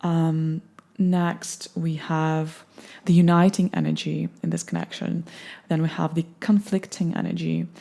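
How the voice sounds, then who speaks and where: A woman speaks at a fairly slow pace, her pitch fairly low and her tone dark and mellow. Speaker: tarot reader. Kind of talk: tarot reading. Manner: calm, meditative.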